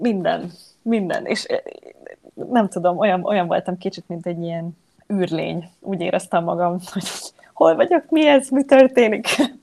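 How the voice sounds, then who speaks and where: A woman is speaking. Her intonation is lively. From Hungary. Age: 20s. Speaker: yoga teacher. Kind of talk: interview. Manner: halting, many repeated words.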